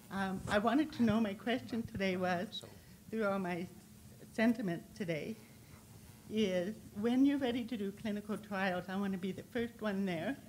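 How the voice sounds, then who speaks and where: A somewhat breathy woman at a moderate pace, with long, frequent pauses. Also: medium pitch for a woman, ordinary pitch variation. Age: 60s. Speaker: audience member and patient. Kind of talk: audience question. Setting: conference hall with audience. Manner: halting.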